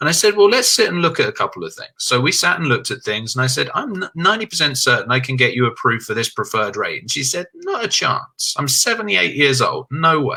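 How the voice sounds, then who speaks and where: A man with an English accent at a very fast pace, with hardly any pauses. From England. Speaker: insurance agent. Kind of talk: interview.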